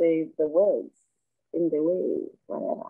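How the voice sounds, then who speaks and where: A woman speaks with a South African accent. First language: Xhosa. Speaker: rapper. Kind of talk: interview.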